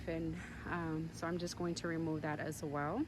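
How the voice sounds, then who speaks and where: Fairly low pitch from a woman, with fairly even intonation and audible room echo. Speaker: gardening and lifestyle vlogger. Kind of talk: casual vlog narration. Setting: outdoors in vegetable garden. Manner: hesitant, many fillers; loud.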